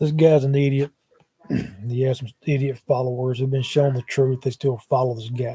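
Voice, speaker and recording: At a moderate pace and a medium pitch, a man with an American accent speaks in a somewhat breathy, dark, mellow tone with monotone, flat intonation. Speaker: paranormal YouTuber. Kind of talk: livestream monologue. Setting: live stream on laptop. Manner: hesitant with many fillers. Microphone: laptop mic, sound changed when moved closer.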